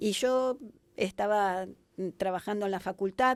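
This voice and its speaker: A woman's medium-pitched voice with ordinary pitch variation at a fairly slow pace, in a very clean recording with a silent background. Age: 60s. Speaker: hospitality business consultant. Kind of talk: podcast interview. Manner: hesitant with frequent fillers and restarts.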